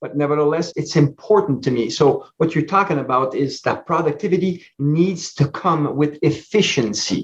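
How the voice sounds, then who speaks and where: This man's voice is fairly high and somewhat breathy, with ordinary pitch variation and a moderate pace. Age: 60s. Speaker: business coach and speaker. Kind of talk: podcast interview.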